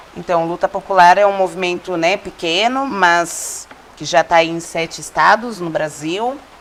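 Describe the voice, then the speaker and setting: With noticeable background noise, a woman speaks at a fairly slow pace in a fairly low pitch, her pitch varying in an ordinary way. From Cajamar, São Paulo state, Brazil. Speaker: social movement activist. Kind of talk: casual chat.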